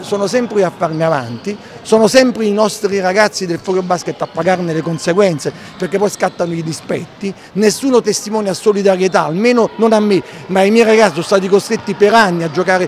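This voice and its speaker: Light background noise runs under a man's voice. He speaks fairly quickly with ordinary pitch variation. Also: dry sound with no echo. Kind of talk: interview answer. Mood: indignant, critical. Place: hall. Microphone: handheld.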